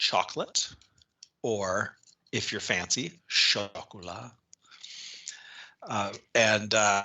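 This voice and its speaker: In a Minnesotan accent, a man speaks at a very slow pace with long, frequent pauses. His fairly low voice keeps a fairly even intonation. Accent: Minnesota. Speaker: podcast host. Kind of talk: casual chat. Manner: halting.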